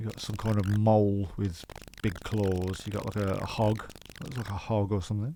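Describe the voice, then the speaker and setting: In a Birmingham accent, a man speaks with a fairly low pitch and fairly even intonation. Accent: Brummie. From West Midlands, England. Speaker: gaming YouTuber. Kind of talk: gameplay commentary. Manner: casual, hesitant with fillers; not fast-talking.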